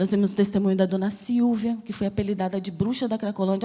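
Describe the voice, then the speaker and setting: A woman speaks at a fairly quick pace with a somewhat breathy, dark, mellow tone. Her pitch is medium, with ordinary variation. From Brazil, Bahia (Salvador). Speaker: missionary preacher. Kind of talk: sermon with personal testimony. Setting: church service.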